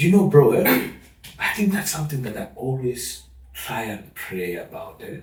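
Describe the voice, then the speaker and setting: A man with a fairly high pitch makes very wide pitch swings and big swings in loudness. Audible room echo surrounds his voice. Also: moderate pace. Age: 50s. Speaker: father sharing parenting experience. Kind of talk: interview conversation.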